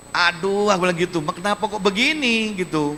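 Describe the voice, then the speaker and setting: Delivered in a raised, projected voice with a bright, sharp tone, the speech is animated and fairly quick, with ordinary pitch variation. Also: man. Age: 60s. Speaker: regional head of government. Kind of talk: public lecture to students. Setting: university auditorium with audience.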